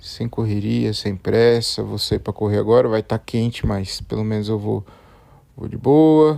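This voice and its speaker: A man's dark, mellow tone at a fairly slow pace, with ordinary pitch variation, on a very clean recording with a silent background. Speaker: solo podcaster. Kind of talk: casual solo monologue. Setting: at home, bedroom. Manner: relaxed, hesitant.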